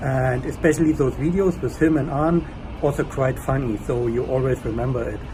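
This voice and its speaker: Amid noticeable background noise, a man with a German accent speaks at a fairly quick pace and medium pitch with ordinary pitch variation. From Germany. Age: 30s. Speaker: language learner, engineer. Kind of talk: testimonial. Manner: casual, hesitant with fillers.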